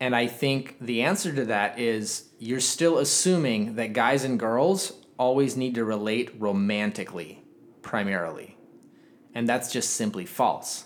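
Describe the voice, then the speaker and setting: In a normal speaking voice, a man talks at a fairly slow pace with medium pitch and ordinary pitch variation. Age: 20s. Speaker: podcast host. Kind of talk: casual chat.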